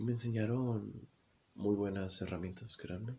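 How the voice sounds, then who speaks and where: A somewhat breathy man's voice, fairly low in pitch, at a moderate pace with ordinary pitch variation. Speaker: podcaster. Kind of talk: personal testimony monologue. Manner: halting, many repetitions and fillers.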